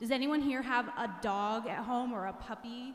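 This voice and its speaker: In a room with audible echo, a woman talks at high pitch and a fairly slow pace with ordinary pitch variation. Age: 40s. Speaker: religious education teacher. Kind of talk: retreat talk to teens. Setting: church with audience. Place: church. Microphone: handheld.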